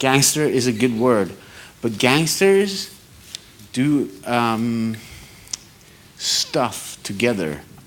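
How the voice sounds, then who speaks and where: A man's very slow, lively-toned speech with long, frequent pauses and very even loudness, amid noticeable background noise and audible room echo. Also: medium pitch for a man. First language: Norwegian. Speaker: audience member at photography debate. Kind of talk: panel Q&A question. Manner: halting.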